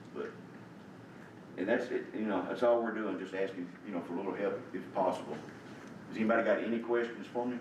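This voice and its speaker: Speaking very fast yet with long, frequent pauses, a man with a fairly low voice keeps his intonation fairly even, while room echo and noticeable background noise come through. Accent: Tennessee. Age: 70s. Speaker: community volunteer. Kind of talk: public comment at a county meeting. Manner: halting, repetitive.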